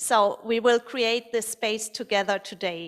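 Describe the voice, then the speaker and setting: A woman speaks with a non-native accent at a fairly high pitch. Her pace is fairly slow and her intonation fairly even. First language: not English. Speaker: playback theatre facilitator. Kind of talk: audience warm-up at live performance. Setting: stage with live audience. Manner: halting, many fillers and restarts.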